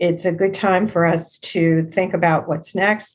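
A woman with a normal speaking voice and an American accent, fairly low in pitch and fairly slow in pace. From Long Island, New York. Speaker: career coach and author. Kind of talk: interview.

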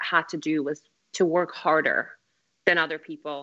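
Using a normal speaking voice, a woman talks at a moderate pace and a fairly low pitch. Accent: American. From Afghanistan, then Moscow as a child, later US. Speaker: actress. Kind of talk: casual interview.

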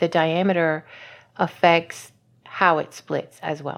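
A woman with a normal speaking voice and an American accent speaks at a fairly slow pace in a fairly low pitch, on a very clean recording with a silent background. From US South, Louisiana. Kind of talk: interview.

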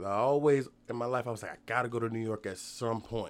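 A medium-pitched male voice in a very clean recording with a silent background. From Virginia Beach, Virginia. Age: 30s. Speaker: comedian. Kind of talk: casual chat.

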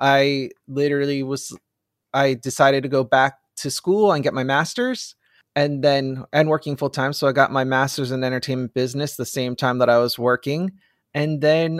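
This man has an unremarkable speaking voice, fairly high in pitch, with fairly even intonation at a moderate pace. The recording is very clean and dry, close with no echo, over a silent background. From New Jersey. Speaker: film marketing director. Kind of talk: casual chat.

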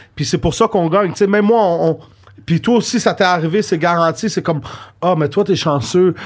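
Speaking at a fairly quick pace, a man with a high pitch sounds animated, keeping very even loudness and ordinary pitch variation. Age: 20s. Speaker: podcast co-host. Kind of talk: casual chat.

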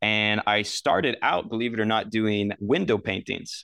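Talking at a moderate pace with an American accent, a man has an ordinary speaking voice of medium pitch. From Southern Oregon. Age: 20s. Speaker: artist. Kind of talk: casual chat.

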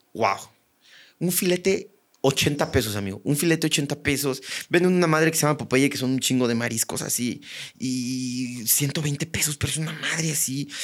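Moderate pace with ordinary pitch variation. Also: man. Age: 30s. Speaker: stand-up comedian. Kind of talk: casual chat.

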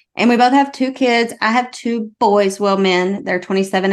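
A woman with a Southern US accent, medium in pitch and fairly quick in pace. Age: 40s. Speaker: mindset coach. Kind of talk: casual chat.

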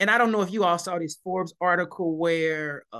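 Against a quiet background, a man speaks in a high voice. His tone is bright and sharp. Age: 50s. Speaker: education executive and author. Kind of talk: interview.

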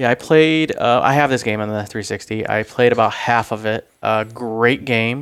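At a moderate pace, a man speaks at a medium pitch in an unremarkable speaking voice. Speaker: podcast co-host. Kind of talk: casual chat. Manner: joking, does a put-on radio voice.

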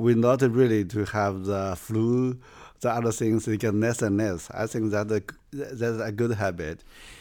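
Speaking at a fairly slow pace with a Chinese accent, a man uses a fairly low pitch, fairly even intonation and a dark, mellow tone. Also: very clean recording, silent background. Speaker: theater professional. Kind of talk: interview. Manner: halting.

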